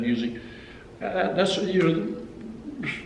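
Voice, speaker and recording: Noticeable background noise and audible room echo around a man with an American accent. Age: 60s. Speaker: country guitarist and songwriter. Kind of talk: casual interview chat. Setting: recording studio. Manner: halting, many repeated words.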